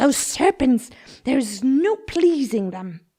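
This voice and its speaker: A woman uses a put-on character voice at a high pitch. She swings her pitch very widely and keeps a fairly slow pace. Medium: read story. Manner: indignant, complaining.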